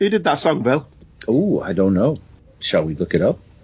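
A man speaks at a medium pitch with vocal fry. His pitch swings very widely. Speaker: podcast host. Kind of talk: casual banter, TV episode discussion.

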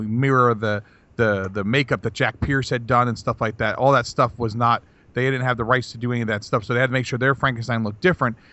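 A man uses an ordinary speaking voice, medium in pitch, with fairly even intonation as he talks fairly quickly. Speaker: podcast co-host. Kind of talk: casual banter podcast chat.

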